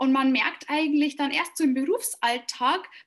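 With ordinary pitch variation, a woman's voice sits high. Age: 20s. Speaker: coach and university lecturer. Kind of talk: interview.

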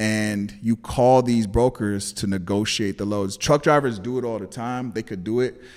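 Delivered at a moderate pace with hardly any pauses, the speech has fairly even intonation and a Californian accent. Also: man, fairly low pitch for a man. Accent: Californian American English. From Los Angeles, California. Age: 30s. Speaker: entrepreneur and videographer. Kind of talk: casual interview.

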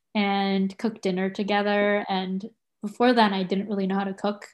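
A woman speaks at a fairly high pitch. The recording is very clean, with a silent background. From San Diego, California (born in Tokyo, Japan). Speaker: university undergraduate advisor. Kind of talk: casual interview chat. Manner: hesitant, many fillers.

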